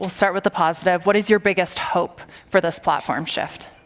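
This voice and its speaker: A fairly quick delivery with ordinary pitch variation over noticeable background noise. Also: woman. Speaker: panel moderator, tech journalist. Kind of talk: panel discussion. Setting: stage with audience.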